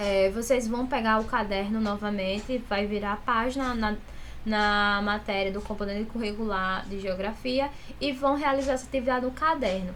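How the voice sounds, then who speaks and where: A woman's fairly high voice at a moderate pace, ordinary pitch variation, and audible room echo around it. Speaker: school teacher. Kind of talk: recorded online class instructions.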